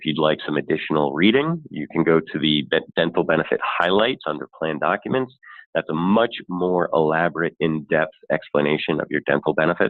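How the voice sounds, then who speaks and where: A man speaks at a fairly quick pace. His pitch is very deep and low. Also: ordinary pitch variation. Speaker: benefits consultant. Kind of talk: webinar presentation. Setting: online webinar. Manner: fast.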